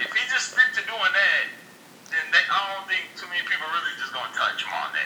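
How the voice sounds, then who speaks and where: A man with an American accent talks amid noticeable background noise, with audible echo from the room. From East Texas, Hunt County. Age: 20s. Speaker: podcast listener and college student. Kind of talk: casual chat.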